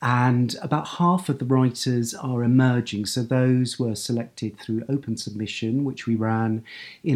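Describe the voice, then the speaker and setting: A man speaks at medium pitch with an English accent. His pace is fairly slow and his intonation fairly even. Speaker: book editor and writer. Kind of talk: talk about own writing. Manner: halting, with fillers and repetitions.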